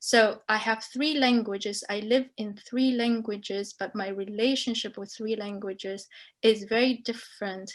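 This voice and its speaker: A woman's fairly high voice at a moderate pace, intonation fairly even, loudness swinging widely, over a quiet background. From Libya. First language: Arabic. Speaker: professor. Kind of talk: panel discussion.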